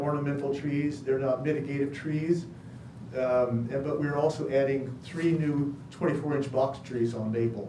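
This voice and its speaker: Noticeable background noise and audible room echo surround this recording. A man speaks in a flat monotone at a fairly high pitch. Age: old. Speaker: project applicant presenting to committee. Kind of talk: public meeting presentation.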